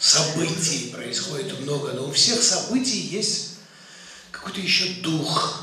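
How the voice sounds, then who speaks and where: Audible room echo and light background noise surround a high-pitched man. He speaks at a very slow pace. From Georgia. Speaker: geologist and poet. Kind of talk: speech at film screening. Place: hall.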